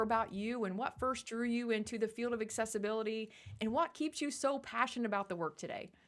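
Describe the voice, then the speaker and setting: Speaking in a Midwestern accent, a woman rushes along at a very fast pace and fairly high pitch with hardly any pauses. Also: very clean recording, silent background. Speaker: podcast co-host, educator. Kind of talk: podcast interview.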